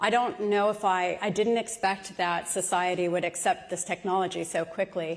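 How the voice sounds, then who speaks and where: A woman speaks at a moderate pace in a medium-pitched voice, her loudness very even, her intonation fairly flat, and she hardly pauses at all. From US Midwest. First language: not English. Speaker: tech executive. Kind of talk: onstage interview.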